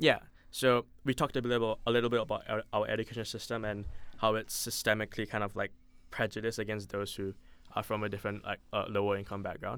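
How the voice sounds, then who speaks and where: In a very clean recording with a silent background, a man with a fairly low pitch and fairly even intonation speaks at a very fast pace. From Singapore. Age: 20s. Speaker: university student. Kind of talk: interview. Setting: studio. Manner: halting.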